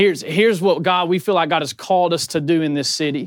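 A man's high voice with a Southern US accent, very fast and fairly even in intonation, on a very clean recording with a silent background. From Murray, Kentucky. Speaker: church planter and chicken farmer. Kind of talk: conference panel talk.

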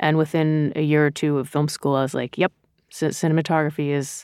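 In an American accent, a woman speaks at a fairly quick pace with a very deep, low pitch. Her intonation is monotone and flat, and the recording is very clean with a silent background. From Rhode Island, US. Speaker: cinematographer. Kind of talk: interview. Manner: casual, with frequent fillers and restarts.

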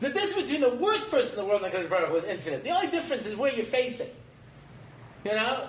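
The speaker talks at a very fast pace with very wide pitch swings. Audible room echo and noticeable background noise are present. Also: man, extremely high pitch for a man. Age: 50s. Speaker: rabbi and lecturer. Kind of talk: lecture. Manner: animated.

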